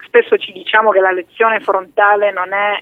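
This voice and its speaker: A woman speaks at a medium pitch. It is a normal speaking voice. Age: 30s. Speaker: politician. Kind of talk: radio interview. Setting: studio.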